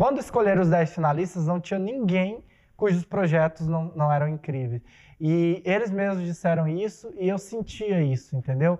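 Pitched high, a man speaks with a dark, mellow tone at a moderate pace and ordinary pitch variation. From Mato Grosso, Brazil. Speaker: theatre director and playwright. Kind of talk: casual chat.

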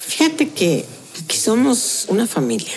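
Very slow speech comes through over noticeable background noise. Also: woman. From Tehuantepec, Oaxaca, Mexico. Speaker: restaurant owner and chef. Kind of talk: casual interview. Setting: restaurant.

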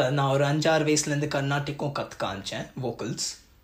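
Fairly high pitch in a man's somewhat breathy voice. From Japan, Tamil family. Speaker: music analyst / content creator. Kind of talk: casual interview conversation. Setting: video call.

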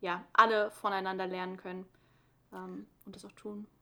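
A woman speaks at a moderate pace with a medium pitch and a bright, sharp tone. The recording is very clean, with a silent background. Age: 20s. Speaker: environmental science student and podcast co-host. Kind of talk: casual educational chat.

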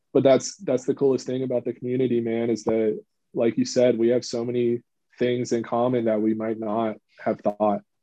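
This is a man with an ordinary speaking voice at medium pitch. He talks at a moderate pace with fairly even intonation. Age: 20s. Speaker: retro game modder and custom label maker. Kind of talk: casual chat.

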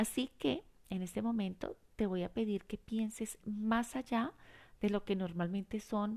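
At a fairly slow pace, a woman talks in a medium pitch with a calm, warm tone against a quiet background. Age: 50s. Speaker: life coach podcast host. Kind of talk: reflective monologue with guided exercise.

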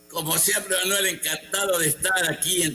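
This is a man's voice. There is noticeable background noise. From Mexico, Tabasco (Huimanguillo). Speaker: city historian. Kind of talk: radio interview.

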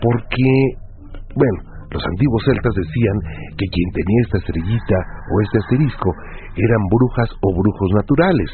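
There are long, frequent pauses as a man speaks. Noticeable background noise runs underneath. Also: fairly low pitch for a man, ordinary pitch variation, moderate pace. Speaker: radio host. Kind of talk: late-night call-in radio show.

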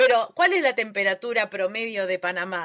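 A woman speaks in a bright, sharp tone at a fairly high pitch. Her intonation is lively. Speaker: podcast host. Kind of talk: casual interview.

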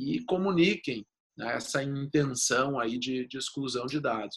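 A man's medium-pitched voice at a fairly slow pace. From Rio Grande do Sul, Brazil. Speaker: lawyer. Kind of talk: interview about data protection law. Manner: halting, repeats words.

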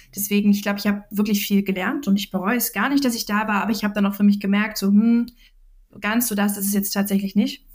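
A woman talks at a very fast pace in a somewhat breathy voice, her intonation monotone and flat. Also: medium pitch for a woman. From Saxony, Dresden. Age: 20s. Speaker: management consultant. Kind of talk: interview.

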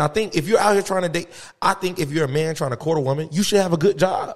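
This man talks at a very fast pace in a high pitch, his tone animated and his pitch variation ordinary. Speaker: podcast host, army veteran. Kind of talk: casual chat.

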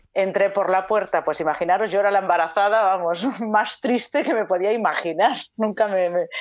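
A woman talks at a fairly quick pace in a plain, everyday voice, pitched at a medium level with ordinary variation. Her loudness stays very even throughout. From Galicia, Spain. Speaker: actress. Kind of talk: casual chat.

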